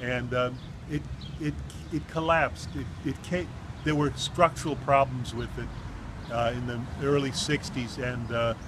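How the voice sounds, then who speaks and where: A man with a Chicago-area accent is heard with a dry sound with no echo against loud background noise. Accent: Chicago-area American English. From Chicago, Humboldt Park. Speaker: poet recounting his immigrant childhood. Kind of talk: elder life story, walking-tour reminiscence of the old neighborhood. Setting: outdoors, on a street corner. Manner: halting, full of uh's and restarts as memories surface; warm, wistful storytelling, pointing out landmarks. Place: street. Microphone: phone near.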